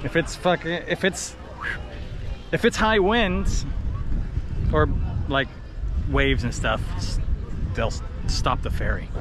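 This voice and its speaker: A man speaks at a fairly slow pace with long, frequent pauses. The sound is dry with no echo, and clear music plays in the background. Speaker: travel vlogger. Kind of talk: casual vlog chat. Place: garden. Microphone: phone near.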